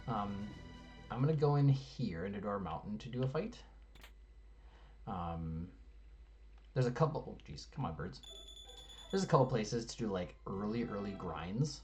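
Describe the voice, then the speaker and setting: Mumbled speech from a man at a moderate pace, with fairly low pitch, vocal fry, very wide pitch swings, big swings in loudness, long and frequent pauses, and audible room echo. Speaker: video game speedrunner. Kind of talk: gameplay commentary. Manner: mumbling; soft-spoken.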